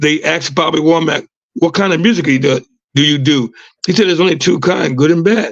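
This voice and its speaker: The pace is very fast, with very even loudness. Pitch variation is ordinary. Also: man, fairly high pitch for a man. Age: 60s. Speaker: singer and entertainer. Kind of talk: interview. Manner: halting, many fillers.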